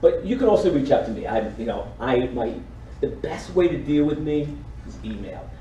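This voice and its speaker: Amid noticeable background noise and audible room echo, a man speaks at a moderate pace with big swings in loudness. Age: 60s. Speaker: state housing finance official. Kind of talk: panel talk. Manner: halting.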